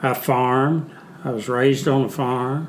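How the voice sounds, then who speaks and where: Amid audible room echo, a man with a Southern US accent speaks at medium pitch with ordinary pitch variation. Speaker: Vietnam veteran. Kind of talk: casual interview. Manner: halting.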